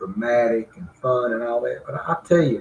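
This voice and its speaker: Somewhat breathy and medium in pitch, a man with an American accent speaks at a fairly slow pace with ordinary pitch variation. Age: 60s. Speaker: mayor. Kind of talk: interview.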